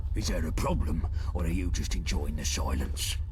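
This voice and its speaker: Put-on character voice from a man at a moderate pace, loud background noise. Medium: game stream. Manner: commanding.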